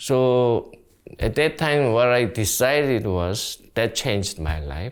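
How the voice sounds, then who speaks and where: Over a silent background in a very clean recording, a man speaks at a medium pitch with very wide pitch swings. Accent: Korean. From South Korea. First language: Korean. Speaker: community organizer. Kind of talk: interview. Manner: halting.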